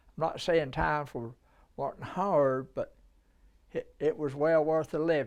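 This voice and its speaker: A man with a Southern US accent speaks at a fairly slow pace, with long, frequent pauses. His fairly high pitch shows ordinary variation. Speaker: oral history interviewee. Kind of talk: interview. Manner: halting.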